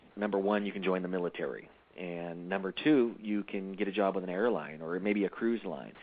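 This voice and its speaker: An American accent at a fairly quick pace with ordinary pitch variation. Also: man. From mixed: Japan, Mexico and the US. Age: 30s. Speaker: entrepreneur. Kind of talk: interview. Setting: radio show. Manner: halting, many fillers.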